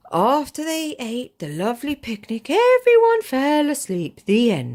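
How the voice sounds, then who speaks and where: In a put-on character voice, the speaker delivers the lines at a fairly slow pace. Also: woman, high pitch for a woman. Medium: read story.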